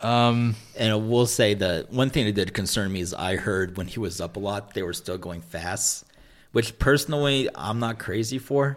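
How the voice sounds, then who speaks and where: Moderate in pace with ordinary pitch variation, an ordinary speaking voice is heard on a very clean recording with a silent background. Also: man, fairly low pitch for a man. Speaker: college sports fan and podcast guest. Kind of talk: casual chat.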